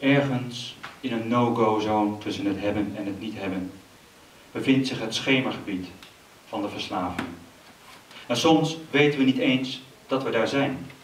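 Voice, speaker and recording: A man's medium-pitched voice at a fairly slow pace, with ordinary pitch variation, long, frequent pauses, audible room echo and light background noise. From Amsterdam. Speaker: poet. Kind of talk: poetry reading. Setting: stage with audience. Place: stage. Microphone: handheld.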